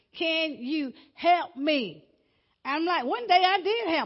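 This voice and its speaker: A woman speaks in an animated tone. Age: 60s. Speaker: pastor. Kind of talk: sermon. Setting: church.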